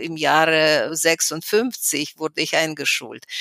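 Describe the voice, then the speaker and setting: A woman speaks in a very deep, low pitch with a Russian accent. The sound is dry and close, with no echo. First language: Russian (speaking German). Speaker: historian and human rights activist. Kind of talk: interview. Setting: remote call from home.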